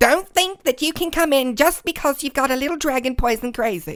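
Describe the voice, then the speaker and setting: The voice is a put-on character voice, high and shrill. It moves at a fairly quick pace. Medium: read story.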